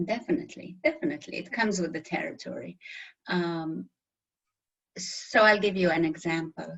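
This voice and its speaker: Speaking at a moderate pace with a strong non-native accent, a woman leaves long, frequent pauses. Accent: very thick foreign. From Middle East. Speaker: interview guest. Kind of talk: interview.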